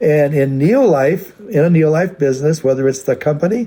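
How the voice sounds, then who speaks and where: This man's fairly high voice is somewhat breathy, with a dark, mellow tone and lively intonation. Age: 80s+. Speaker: company founder. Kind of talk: recorded address to a convention. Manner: halting, many fillers.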